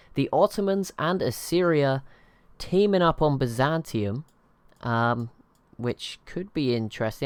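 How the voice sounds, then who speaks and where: The speaker has an English accent. The intonation is lively. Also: man. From England, near London. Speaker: gaming youtuber. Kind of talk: live gameplay commentary. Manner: casual, halting.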